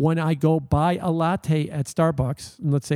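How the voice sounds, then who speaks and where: Dark and mellow in tone, a man with an American accent speaks at a moderate pace and fairly high pitch. The very clean recording has a silent background and a dry, close sound with no echo. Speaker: macroeconomic analyst. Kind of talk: interview.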